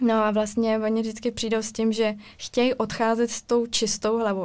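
A woman's fairly high, flat, monotone voice at a fairly quick pace, on a very clean recording with a silent background. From Ostrava, Czech Republic. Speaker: illustrator. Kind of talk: casual chat.

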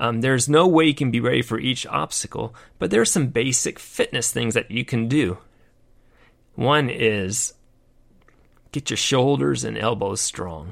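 On a very clean recording with a silent background, a man with vocal fry speaks at a medium pitch and moderate pace, using lively intonation and long, frequent pauses. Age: 50s. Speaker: podcast host and retired army veteran. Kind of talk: casual monologue. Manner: halting, with fillers.

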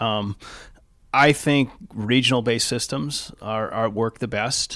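Speaking in a Californian accent, a man has a bright, sharp tone and ordinary pitch variation. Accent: Californian American. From Southern California (East Los Angeles). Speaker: health system executive. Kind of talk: interview. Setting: in person, Laguna Beach.

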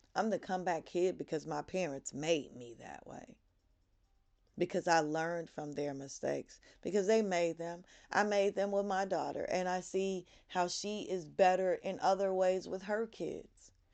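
A woman's plain, everyday voice, medium in pitch with ordinary variation, at a moderate pace over a quiet background. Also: big swings in loudness. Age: 40s. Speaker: podcast host, motivational speaker. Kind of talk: motivational monologue.

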